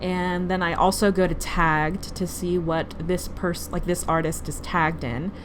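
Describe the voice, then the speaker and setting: Fairly even intonation and hardly any pauses, with audible room echo. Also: woman, fairly low pitch for a woman. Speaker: artist and vlogger. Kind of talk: voiceover tutorial. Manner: fast; casual, filler-heavy.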